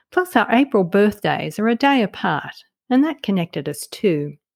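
Recorded very cleanly against a silent background, a woman speaks at a moderate pace with a dry, close sound and no echo. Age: 50s. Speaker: podcast host and author. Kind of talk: solo podcast reflection. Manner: clear, scripted narration.

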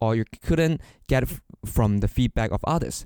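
A man's dark, mellow voice, recorded dry and close with no echo, moves at a moderate pace with lively intonation. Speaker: podcast co-host. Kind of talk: casual podcast conversation.

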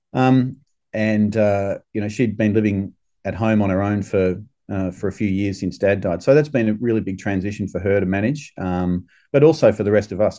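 A fairly low-pitched man with an Australian accent, ordinary pitch variation and a moderate pace against a quiet background. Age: 50s. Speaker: urologist and surgeon. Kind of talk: podcast interview. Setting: remote call from abroad. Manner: halting, many filler words.

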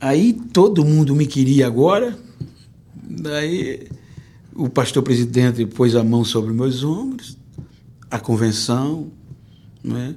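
A man speaks at a medium pitch and a very slow pace, with long, frequent pauses. The room echo is audible. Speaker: pastor and preacher. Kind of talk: testimony interview. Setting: church.

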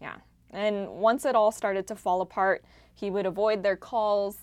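Against a quiet background, a woman with an American accent uses a plain, everyday voice at medium pitch and a moderate pace. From United States. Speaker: podcast host and investigative journalist. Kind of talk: conversational interview.

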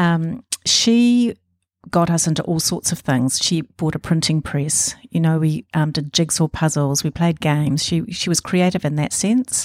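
With a New Zealand accent, a woman talks fairly slowly at a fairly low pitch, with ordinary pitch variation, very even loudness, and a dry, close sound with no echo. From New Zealand, Auckland. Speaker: embroidery artist. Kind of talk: interview. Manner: hesitant fillers.

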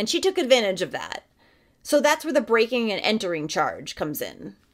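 With a solemn tone and vocal fry, a woman's fairly high voice moves through very wide pitch swings in a very clean recording with a silent background. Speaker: true crime narrator. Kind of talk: true-crime narration, scripted and read aloud. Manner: measured, solemn, steady storytelling pace.

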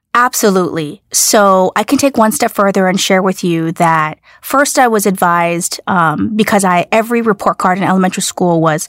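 Over a very clean recording with a silent background, a woman speaks in a plain, everyday voice at medium pitch, with lively intonation and a fairly quick pace. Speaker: business executive. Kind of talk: interview.

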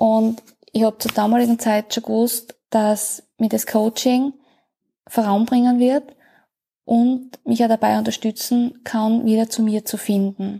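Dry and close with no echo, a woman's somewhat breathy, dark and mellow voice sits at a fairly high pitch, flat and monotone at a fairly slow pace. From Austria. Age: 30s. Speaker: coaching client. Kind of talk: testimony.

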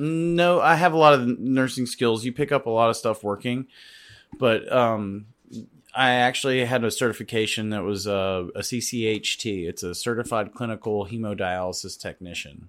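A man with an ordinary speaking voice talks at a moderate pace and medium pitch, his pitch varying in an ordinary way, on a very clean recording with a silent background. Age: 30s. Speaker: bartender. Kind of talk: casual chat.

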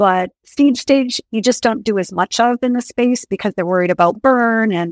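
A woman with an American accent talks at a moderate pace with ordinary pitch variation. Her normal speaking voice has a dry, close sound with no echo. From rural Maine, US. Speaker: executive recruiter. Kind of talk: interview. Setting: podcast.

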